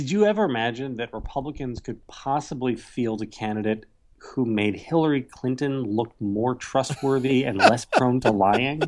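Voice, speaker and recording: A man with an ordinary speaking voice talks at a medium pitch, with ordinary pitch variation. He keeps a moderate pace with hardly any pauses, and the recording is very clean, with a silent background. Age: 40s. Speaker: political journalist. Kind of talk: casual political discussion.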